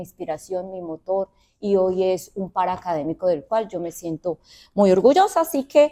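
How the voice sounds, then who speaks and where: In a Colombian accent, a woman speaks at a fairly slow pace with lively intonation, the sound dry and close with no echo. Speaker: university professor and researcher. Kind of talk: research presentation. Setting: auditorium event also streamed on video call.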